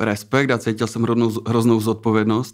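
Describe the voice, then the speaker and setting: A man's monotone, flat intonation at a fairly quick pace over a quiet background. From Czechia, Třinec (Moravian-Silesian region); Moravian-Silesian region, Czechia. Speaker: tattoo artist; guest. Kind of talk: interview. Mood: relaxed, reflective. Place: studio. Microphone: studio mic.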